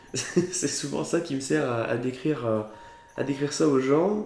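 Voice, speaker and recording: Audible room echo surrounds a man as he speaks. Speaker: geocaching youtuber. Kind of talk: casual vlog chat. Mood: cheerful, festive. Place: home room. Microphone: camera far.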